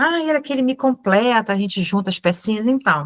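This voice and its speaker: At a moderate pace, a woman talks in a dry, close recording with no echo. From Brazil, Ceará; raised in Rio de Janeiro. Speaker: Hellenism practitioner and teacher. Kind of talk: informal online talk to a group. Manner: animated.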